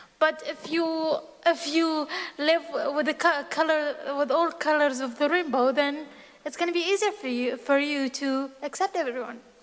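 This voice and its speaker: Speaking at a moderate pace with an Arabic accent, a woman uses a high pitch and ordinary pitch variation. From Syria (Aleppo region). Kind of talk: personal testimony.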